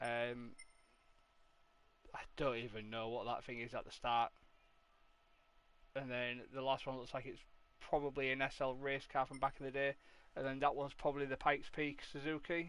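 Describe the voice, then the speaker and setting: This man talks at a moderate pace and medium pitch in a relaxed tone. His intonation is monotone and flat, broken by long, frequent pauses. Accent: Yorkshire. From Yorkshire, northern England (Hull area). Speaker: gaming streamer. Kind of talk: casual live-stream commentary. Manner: relaxed, hesitant with fillers.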